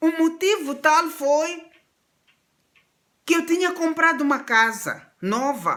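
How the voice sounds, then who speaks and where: A woman's extremely high pitch, bright and sharp in tone, at a very slow pace with long, frequent pauses and very even loudness. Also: ordinary pitch variation. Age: 60s. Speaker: pastor. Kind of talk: sermon.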